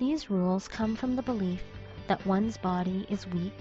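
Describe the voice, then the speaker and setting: Against music in the background, a woman speaks at a moderate pace with a medium-pitched voice. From Canada. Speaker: English teacher. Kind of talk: personal essay narration.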